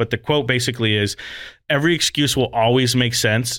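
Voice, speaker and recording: In an American accent, an ordinary speaking voice moves at a moderate pace with ordinary pitch variation, on a very clean recording with a silent background. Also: man. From US West, Las Vegas. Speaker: podcast host and coach. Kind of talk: casual chat.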